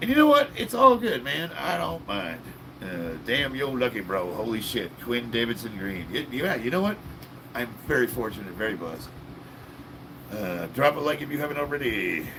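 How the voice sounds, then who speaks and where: With noticeable background noise underneath, the speech keeps a moderate pace and lively intonation. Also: man, medium pitch for a man. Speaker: live streamer reading chat. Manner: casual, upbeat, chatty.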